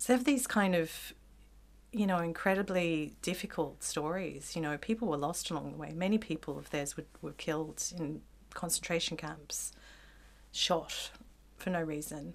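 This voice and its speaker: A woman talks at a moderate pace with vocal fry, ordinary pitch variation, and big swings in loudness. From Australia. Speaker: sculptor and visual artist. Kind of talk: casual conversation.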